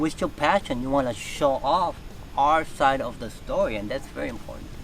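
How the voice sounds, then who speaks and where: Fairly quick delivery in an ordinary speaking voice, its pitch variation ordinary. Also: man. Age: 60s. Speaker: reptile breeder. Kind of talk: casual interview.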